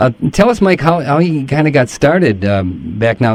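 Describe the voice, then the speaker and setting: An unremarkable speaking voice from a man, fairly high in pitch, with lively intonation at a fairly quick pace. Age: 60s. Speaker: radio host. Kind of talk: radio interview.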